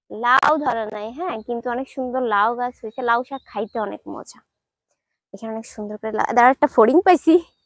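Recorded dry and close with no echo, a high-pitched woman speaks with ordinary pitch variation and big swings in loudness. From Bangladesh, Jessore region. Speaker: vlogger. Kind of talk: casual vlog walkthrough. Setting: outdoors in village.

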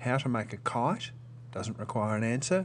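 Here a man with an Australian accent speaks at a medium pitch. His pace is moderate and his pitch variation ordinary. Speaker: teacher. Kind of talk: tutorial.

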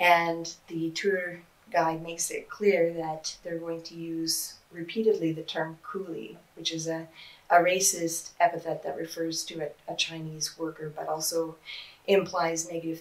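A woman speaks at a fairly low pitch with monotone, flat intonation. Her pace is fairly slow. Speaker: interviewee. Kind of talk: interview answer. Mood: calm, critical explanation. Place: office.

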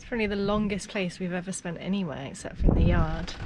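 Over loud background noise, the woman talks at a moderate pace. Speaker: sailing vlogger. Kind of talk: casual vlog chat. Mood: cheerful, a bit nervous. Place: boat. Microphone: phone near.

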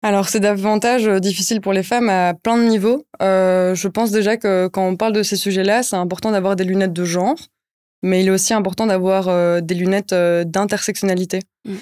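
A woman talking at a fairly quick pace with fairly even intonation over a quiet background. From Brussels, Belgium. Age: 20s. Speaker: NGO project officer; guest. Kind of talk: interview. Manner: hesitant, many fillers. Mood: calm, earnest. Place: studio. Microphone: studio mic.

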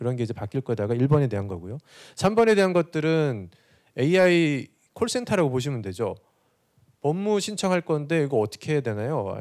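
The voice moves at a moderate pace with very wide pitch swings over a quiet background. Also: man, fairly high pitch for a man. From South Korea. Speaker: corporate digital executive; presenter. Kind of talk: conference presentation. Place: hall. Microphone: handheld.

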